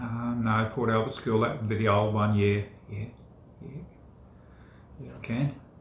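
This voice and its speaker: A man with an Australian accent speaks at a medium pitch with fairly even intonation and long, frequent pauses. Audible room echo and noticeable background noise surround him. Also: moderate pace, big swings in loudness. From Australia, Victoria. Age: 60s. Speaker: former fisherman. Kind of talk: casual chat. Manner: halting, many fillers.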